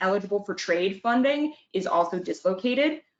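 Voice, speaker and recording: Lively intonation marks this woman's fairly high-pitched voice. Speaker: workforce funding advisor. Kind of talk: webinar presentation. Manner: fast.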